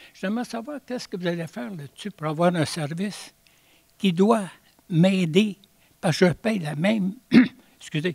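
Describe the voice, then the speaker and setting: A man talks at a fairly slow pace in a high pitch, with ordinary pitch variation. The sound is dry and close, with no echo. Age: 80s+. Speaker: citizen at council question period. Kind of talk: public question at council meeting. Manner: halting.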